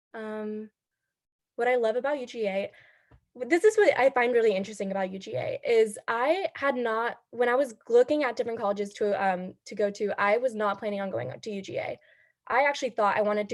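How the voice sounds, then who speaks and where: At a fairly quick pace, a woman speaks in a fairly high pitch with ordinary pitch variation and an unremarkable speaking voice. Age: 20s. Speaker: student club leader. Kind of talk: casual introduction on video call.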